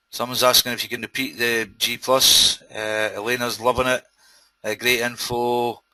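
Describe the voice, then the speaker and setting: A man with a Scottish accent, medium pitch, monotone, flat intonation and a moderate pace. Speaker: webinar host, internet marketer. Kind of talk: live webinar presentation. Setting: online webinar.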